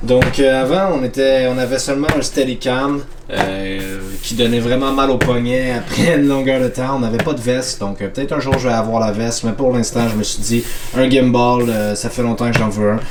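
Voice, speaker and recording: A man in a Quebec accent, medium in pitch and fairly slow, with noticeable background noise and audible room echo. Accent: Québécois French. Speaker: vlogger, amateur filmmaker. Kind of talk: casual vlog. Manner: hesitant, many fillers.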